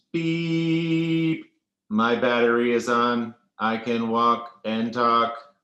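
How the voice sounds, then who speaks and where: A put-on character voice sounds robotic at a low-to-middle pitch. It moves at a very slow pace. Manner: beeping.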